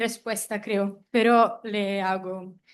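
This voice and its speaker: Over a quiet background, a speaker with a non-native accent talks at a very slow pace. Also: woman. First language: not Spanish (speaking Spanish). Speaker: seminar attendee. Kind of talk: seminar question. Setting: hybrid seminar room.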